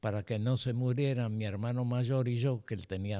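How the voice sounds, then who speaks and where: A man speaks with a dark, mellow tone at a medium pitch. The recording is very clean with a silent background and a dry, close sound with no echo. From Argentina (born in Cuba, arrived age 5). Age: 90s. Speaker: psychoanalyst. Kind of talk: interview. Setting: studio.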